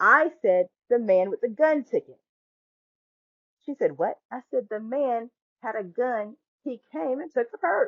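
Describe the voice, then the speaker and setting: The speaker sounds animated, with big swings in loudness. The pace is fairly slow, broken by long, frequent pauses. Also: woman, high pitch for a woman, lively intonation. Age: 40s. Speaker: podcast host and tarot reader. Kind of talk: personal storytelling monologue.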